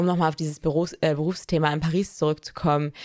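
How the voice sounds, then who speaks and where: Against a silent background in a very clean recording, a woman with an ordinary speaking voice talks at a moderate pace and a fairly low pitch. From small town in Germany. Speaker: fashion podcast co-host. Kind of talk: casual chat. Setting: recording together in Paris.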